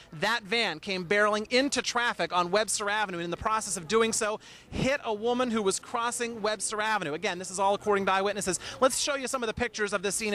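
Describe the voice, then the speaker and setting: Raising and projecting his voice, a man talks at a very fast pace and a high pitch. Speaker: TV news reporter and anchor. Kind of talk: live on-scene report delivered to the studio anchor. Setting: outdoors at a news scene.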